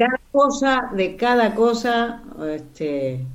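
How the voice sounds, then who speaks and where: A woman's voice makes very wide pitch swings amid audible room echo. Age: 70s. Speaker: actress. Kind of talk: casual interview.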